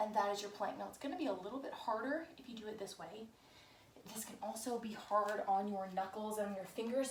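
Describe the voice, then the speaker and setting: Soft-spoken and fairly high in pitch, a woman is heard with audible room echo. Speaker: fitness instructor. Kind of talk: tutorial.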